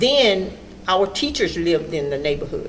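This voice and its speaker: This woman has a medium pitch and speaks with an American accent over noticeable background noise. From Orlando, Florida. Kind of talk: interview answer.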